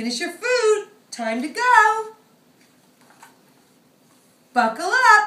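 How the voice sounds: In a put-on character voice, a woman speaks at an extremely high pitch and a very slow pace, with big pitch swings and a bright, sharp tone. Audible room echo surrounds her.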